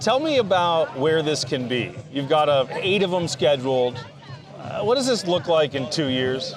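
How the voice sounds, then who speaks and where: A man with an American accent talks at a moderate pace with a fairly high pitch and lively intonation. Music can be heard in the background. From Southern California. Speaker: podcast host. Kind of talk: show intro; interview. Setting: outdoors at golf event.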